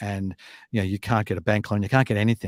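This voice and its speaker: A fairly low-pitched man in an Australian accent with fairly even intonation, on a very clean recording with a silent background and a dry, close sound with no echo. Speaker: fintech company chairman and show host. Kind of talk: casual news discussion. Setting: studio.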